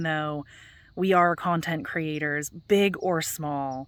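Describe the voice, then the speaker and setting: On a very clean recording with a silent background, a woman speaks with fairly even intonation. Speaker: gardening vlogger. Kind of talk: casual vlog chat. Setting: outdoors in garden at dusk. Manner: soft-spoken.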